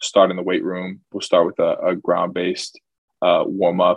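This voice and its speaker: A man is heard in a dry, close sound with no echo and a quiet background. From Charlotte, North Carolina. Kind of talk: podcast interview. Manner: many fillers and hesitations.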